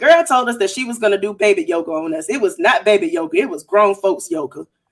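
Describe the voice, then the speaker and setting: Loud and very fast, a woman talks at a fairly high pitch with very wide pitch swings. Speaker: podcast co-host. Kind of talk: casual chat.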